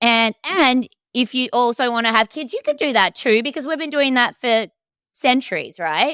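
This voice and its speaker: In an Australian accent, a woman speaks at a moderate pace with a high pitch, an animated, bright, sharp tone and lively intonation, in a very clean, dry, close recording with no echo and a silent background. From Australia, Melbourne. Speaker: coach. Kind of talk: casual chat.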